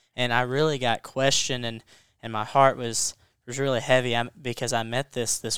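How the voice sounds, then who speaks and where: A man with an American accent speaks at a medium pitch and moderate pace. His intonation is monotone and flat, on a very clean recording with a silent background. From Western Kentucky. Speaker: Bible college student. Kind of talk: Bible study discussion.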